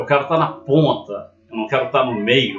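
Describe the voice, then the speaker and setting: A man at a moderate pace, with music playing in the background. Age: 50s. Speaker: former systems analyst, vlogger. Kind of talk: personal story monologue.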